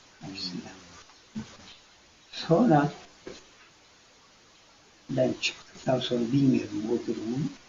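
Over noticeable background noise, a man talks at a very slow pace, leaving long, frequent pauses. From Afyon, western Turkey. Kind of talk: interview answer, personal memoir. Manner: emotional, moving storytelling.

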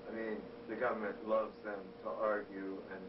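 Noticeable background noise accompanies a man speaking at a fairly slow pace with a fairly low pitch. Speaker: interviewee. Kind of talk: interview answer. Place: office. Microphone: old recording.

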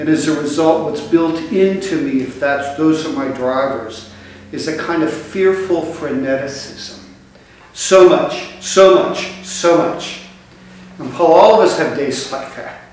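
A man at a fairly slow pace with ordinary pitch variation, big swings in loudness and strong room echo. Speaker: bishop preaching. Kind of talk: sermon. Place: church. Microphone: camera far.

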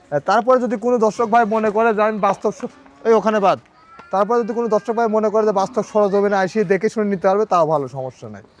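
Against noticeable background noise, a man talks in a high voice with ordinary pitch variation. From Bangladesh, Pabna district (Ishwardi). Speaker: cattle farmer and dealer. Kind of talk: sales pitch.

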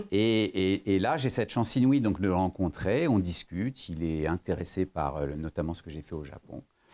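Dark, mellow tone with big swings in loudness, lively intonation, a moderate pace and hardly any pauses. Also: man, very deep, low pitch for a man. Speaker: lawyer and former business executive; lawyer. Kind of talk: interview. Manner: hesitant, many fillers. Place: meeting room.

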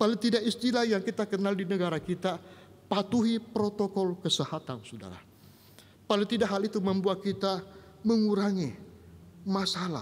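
Speaking at a moderate pace, a man has a high voice and fairly even intonation. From Indonesia. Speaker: pastor. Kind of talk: sermon. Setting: online church service. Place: church. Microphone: podium.

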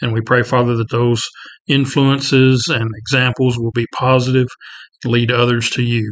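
Against a quiet background, a man talks with monotone, flat intonation. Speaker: Bible class teacher. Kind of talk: prayer then lecture. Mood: calm, reverent. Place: office. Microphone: webcam.

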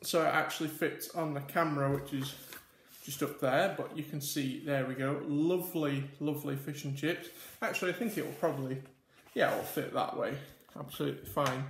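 Somewhat breathy, a man talks at a fairly quick pace with fairly even intonation, with audible room echo and light background noise. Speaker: food vlogger. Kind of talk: casual vlog chat. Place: home room. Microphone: camera far.

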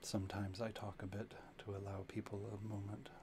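A soft-spoken man talks at a fairly quick pace and a fairly low pitch. His intonation is monotone and flat.

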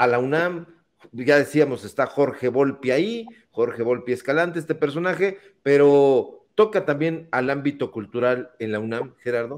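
A man uses a normal speaking voice at a fairly high pitch. His pace is moderate, with ordinary pitch variation. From Mexico. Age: 40s. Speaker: political talk show host. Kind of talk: online political talk show. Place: home room. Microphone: studio mic.

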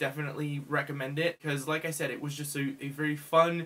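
Fairly quick pace from a male speaker. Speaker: book reviewer. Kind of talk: casual vlog chat. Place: home room. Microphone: phone near.

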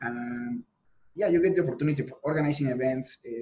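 Over faint music in the background, a man with a Mexican accent speaks at a fairly quick pace with fairly even intonation. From Mexico. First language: Spanish. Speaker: PhD student and teaching assistant in structural engineering; guest. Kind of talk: podcast interview. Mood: friendly, relaxed. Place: home room. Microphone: earbuds.

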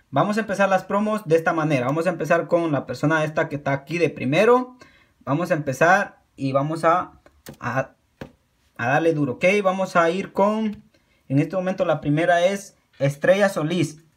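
This man has a high-pitched voice with ordinary pitch variation. He talks at a moderate pace against a quiet background. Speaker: YouTube creator. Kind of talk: pitchman promo, channel shout-outs and subscribe appeals. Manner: earnest, encouraging, repetitive, with halting self-corrections; casual, informal, friendly. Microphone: phone near.

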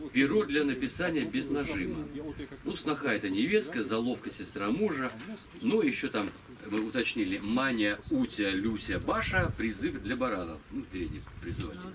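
A man's medium-pitched voice at a moderate pace, with very wide pitch swings and noticeable background noise. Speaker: local historian giving a talk. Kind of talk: lecture with reading aloud of a memoir. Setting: stage with audience. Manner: halting. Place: tent. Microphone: camera far.

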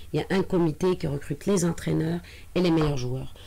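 A woman's fairly low, dark, mellow voice at a moderate pace, with light background noise. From Tunisia. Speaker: sports federation president; guest. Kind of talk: radio interview. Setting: radio studio. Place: studio. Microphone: studio mic.

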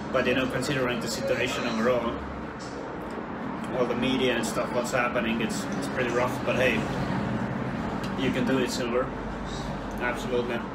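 A man talks at a fairly quick pace while loud background noise fills the recording. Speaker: livestreamer. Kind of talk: casual livestream chat.

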